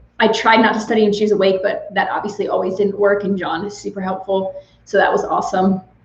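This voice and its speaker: Amid noticeable background noise and audible room echo, a woman at a medium pitch speaks at a very fast pace with monotone, flat intonation. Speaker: nurse anesthetist. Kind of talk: live Q&A chat. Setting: livestream.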